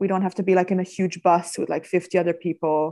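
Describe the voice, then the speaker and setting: Monotone, flat intonation in a Danish accent. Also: woman. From Denmark, Copenhagen area. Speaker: wine tour business owner. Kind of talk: interview.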